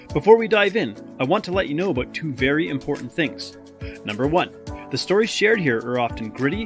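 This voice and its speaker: Music plays behind a man speaking at a very fast pace. His fairly high pitch swings very widely. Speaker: podcast host and coach. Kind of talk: podcast intro.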